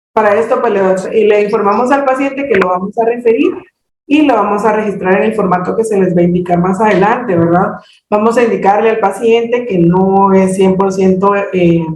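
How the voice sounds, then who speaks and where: A woman speaks at a medium pitch with ordinary pitch variation and very even loudness. Audible room echo surrounds her voice. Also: fairly quick pace. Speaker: hearing screening trainer. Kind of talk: training presentation. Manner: halting, many fillers.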